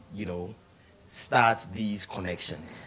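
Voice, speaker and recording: A man is speaking. He goes at a very slow pace. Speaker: TV talk show host. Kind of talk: TV interview. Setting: TV studio. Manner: animated.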